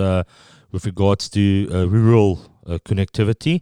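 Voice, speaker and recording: A dark, mellow, relaxed tone on a very clean recording with a silent background. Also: man. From Pretoria, South Africa. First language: Afrikaans. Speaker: guest, product manager in wireless distribution. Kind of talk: casual interview chat. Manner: relaxed, hesitant with fillers.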